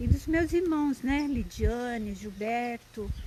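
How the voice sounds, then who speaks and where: A soft-spoken woman at a fairly slow pace. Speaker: lay preacher. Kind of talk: live-stream devotional talk. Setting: live stream.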